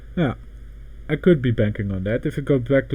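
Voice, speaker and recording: A man with a Dutch accent speaks at a fairly quick pace. His voice is somewhat breathy, with ordinary pitch variation. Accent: Dutch accent, noticeable. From Netherlands. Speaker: crypto livestreamer. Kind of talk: casual livestream commentary. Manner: halting, self-correcting.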